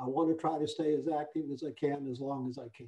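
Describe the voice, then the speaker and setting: A man speaks with a fairly high pitch and a dark, mellow tone. His intonation stays monotone and flat. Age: 80s+. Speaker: real estate appraiser. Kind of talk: Q&A at an online professional forum. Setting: video conference call. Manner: hesitant, many fillers.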